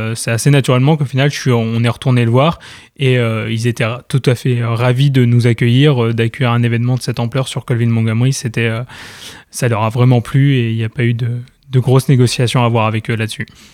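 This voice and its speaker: A man with a medium pitch talks at a fairly quick pace in a monotone, flat intonation. The recording is very clean, with a silent background. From Normandy, France. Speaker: quidditch club president. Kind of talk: radio interview.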